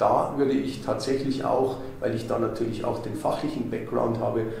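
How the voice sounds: A man at a medium pitch speaks at a moderate pace with fairly even intonation and vocal fry, and the room echo is audible.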